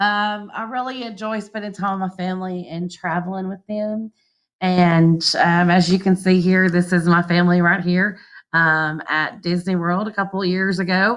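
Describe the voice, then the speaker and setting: In a Southern US accent, a woman speaks at a medium pitch and moderate pace with fairly even intonation, in a very clean recording with a silent background. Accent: country, Southern. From US South, southwest Arkansas. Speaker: teacher. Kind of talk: class introduction video for parents.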